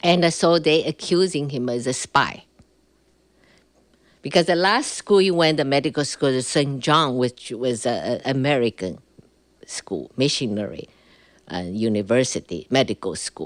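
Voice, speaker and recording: With a Chinese accent, the speaker keeps a moderate pace marked by long, frequent pauses and very wide pitch swings. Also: woman, very deep, low pitch for a woman. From China, Shanghai. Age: 60s. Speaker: Cultural Revolution survivor telling her story. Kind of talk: interview testimony. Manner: halting, many fillers.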